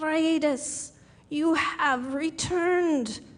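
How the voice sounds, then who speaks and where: In a put-on character voice, a woman sounds croaky and raspy at an extremely high pitch. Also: fairly even intonation. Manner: weak, greeting.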